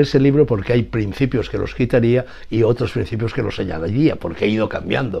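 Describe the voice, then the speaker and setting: A man with a medium-pitched, dark, mellow voice speaks at a moderate pace. Vocal fry shows up, and his pitch variation is ordinary. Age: 80s+. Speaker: writer. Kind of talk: interview answer.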